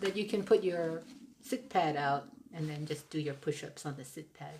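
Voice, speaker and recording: A woman speaks at a moderate pace in a very deep, low, somewhat breathy voice. Her intonation is lively, and her loudness swings widely. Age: 60s. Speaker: thru-hiker and channel co-host. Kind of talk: casual chat.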